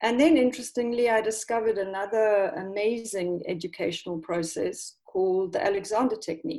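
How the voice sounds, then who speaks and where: This woman has a South African accent and uses ordinary pitch variation. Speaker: English teacher. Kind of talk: casual chat.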